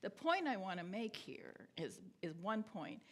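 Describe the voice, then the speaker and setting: A woman speaks at a fairly slow pace with very wide pitch swings and a somewhat breathy voice, with audible room echo. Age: 70s. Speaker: theologian and scholar. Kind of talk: lecture. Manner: halting.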